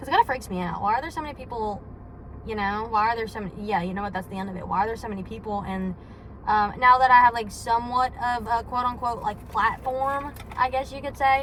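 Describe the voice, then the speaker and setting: The speech runs at a very fast pace. Pitch variation is ordinary, while loudness swings a lot. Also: woman, fairly high pitch for a woman. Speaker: vlogger. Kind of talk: casual vlog monologue. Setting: in a car. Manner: rambling with many fillers.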